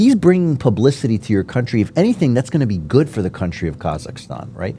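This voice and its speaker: Speaking very fast in an American accent, a man at medium pitch has a dark, mellow tone, vocal fry, and very wide pitch swings. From United States. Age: 50s. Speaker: podcast host. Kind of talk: casual interview chat. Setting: studio. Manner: animated.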